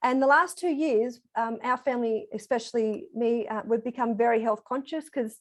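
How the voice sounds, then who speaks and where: A woman speaks in an Australian accent at a moderate pace. Her pitch is fairly high, with ordinary variation. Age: 40s. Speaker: program participant giving testimonial. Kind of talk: testimony.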